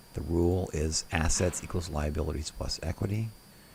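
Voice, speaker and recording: The speaker keeps a moderate pace with ordinary pitch variation over noticeable background noise. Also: man. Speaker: software tutorial presenter. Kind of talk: tutorial.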